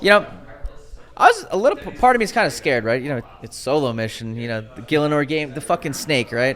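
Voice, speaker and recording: Delivered at a very fast pace in an American accent, the animated speech has lively intonation and big swings in loudness over noticeable background noise. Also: man, fairly high pitch for a man. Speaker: podcast co-host. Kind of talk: casual chat. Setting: in-person studio.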